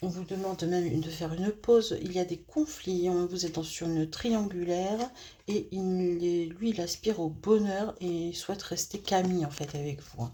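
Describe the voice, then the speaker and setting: Somewhat breathy and dark, mellow in tone, a woman speaks at a moderate pace with a fairly low pitch. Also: ordinary pitch variation. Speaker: tarot card reader. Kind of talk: tarot reading. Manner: hesitant, many fillers.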